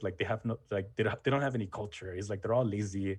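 Over a quiet background, a somewhat breathy man talks at a very fast pace and fairly low pitch. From Mexican-American family from Jalisco. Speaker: history content creator. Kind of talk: casual interview. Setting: video call.

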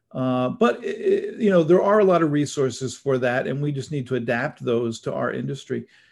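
Lively intonation carries this speech in an American accent. It runs at a fairly quick pace with hardly any pauses. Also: man, fairly high pitch for a man. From New Jersey. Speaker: writers union executive. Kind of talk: interview. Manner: halting.

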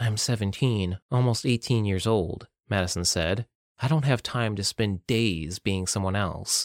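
Pitch varies ordinarily in this natural reading voice. Behind it, the background is quiet.

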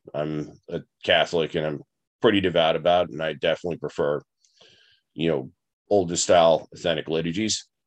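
An American accent at a fairly quick pace, with ordinary pitch variation against a quiet background. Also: man. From Long Island, New York. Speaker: podcast host. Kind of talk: casual personal storytelling monologue. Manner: hesitant, many fillers.

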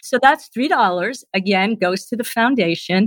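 With a slight New Jersey accent, a woman speaks at medium pitch and a moderate pace. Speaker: charity foundation representative. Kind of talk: interview.

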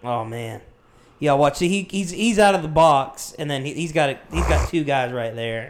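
A man's unremarkable speaking voice, fairly high in pitch, with lively intonation at a moderate pace. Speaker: podcast co-host. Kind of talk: casual chat.

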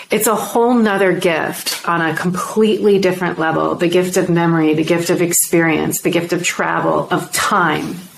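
An ordinary speaking voice at a moderate pace. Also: woman. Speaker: podcast host. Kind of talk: interview.

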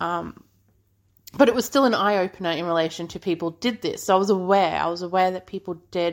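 A medium-pitched woman's voice in an Australian accent, fairly quick in pace, on a very clean recording with a silent background. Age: 30s. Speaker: podcast host. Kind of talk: casual monologue.

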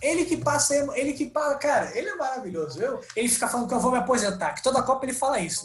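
A man with an extremely high pitch and very wide pitch swings races along at a very fast pace with hardly any pauses over noticeable background noise. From Brazil, Rio de Janeiro. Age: 20s. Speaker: comedian and comedy writer. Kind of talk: casual interview chat. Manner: halting, repeats words.

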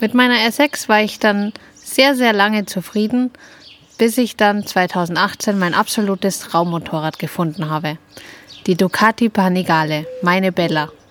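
A woman with an unremarkable speaking voice talks at a medium pitch and a fairly slow pace, with ordinary pitch variation. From Upper Bavaria, Germany. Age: 30s. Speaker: podcast co-host, motorcyclist. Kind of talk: scripted self-introduction.

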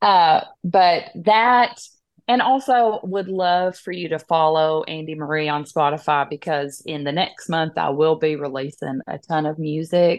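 A woman's very deep, low voice at a fairly slow pace, with lively intonation. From East Tennessee, Scott County. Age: 30s. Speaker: comedic character creator and actor. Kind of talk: interview.

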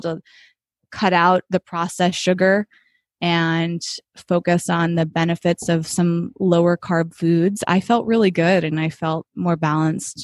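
A woman with an American accent and an unremarkable speaking voice talks at a moderate pace in a fairly low pitch, her intonation fairly even, on a very clean recording with a silent background and a dry, close sound with no echo. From Massachusetts. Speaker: wellness coach and cookbook author. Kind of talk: interview.

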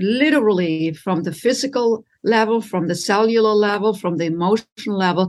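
With a German accent, a woman speaks at a moderate pace using ordinary pitch variation. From Germany. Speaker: relationship coach. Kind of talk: interview. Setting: video call.

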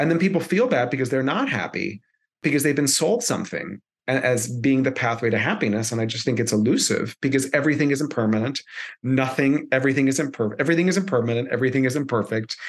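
This man talks very fast at a medium pitch, with ordinary pitch variation and very even loudness. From US, Miami, Florida (Cuban-American). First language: Spanish. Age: 40s. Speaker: public speaking coach. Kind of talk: interview.

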